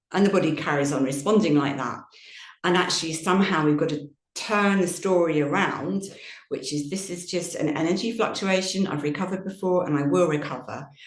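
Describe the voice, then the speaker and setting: Someone speaks at a fairly quick pace, with audible room echo. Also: woman, fairly low pitch for a woman, ordinary pitch variation. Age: 60s. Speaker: yoga teacher. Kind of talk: Q&A session talk.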